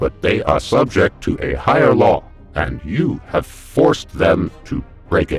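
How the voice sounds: Using a put-on character voice, a man speaks low and fairly slowly with vocal fry and big pitch swings, faint music playing in the background.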